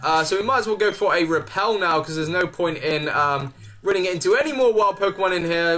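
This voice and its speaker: A man speaks in an animated tone at a high pitch and a fairly quick pace, with ordinary pitch variation and noticeable background noise. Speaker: gaming youtuber. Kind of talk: let's play commentary. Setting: home recording. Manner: casual, animated.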